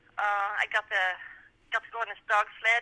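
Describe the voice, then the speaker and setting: This is a woman speaking. She has a Norwegian accent. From Norway. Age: 50s. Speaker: sprint musher. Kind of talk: interview. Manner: halting.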